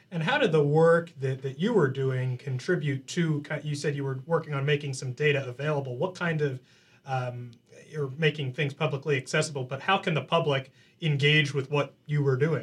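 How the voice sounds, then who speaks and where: Speaking at a moderate pace, a man uses a fairly high, somewhat breathy voice with fairly even intonation. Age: 20s. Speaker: college radio host. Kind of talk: casual chat.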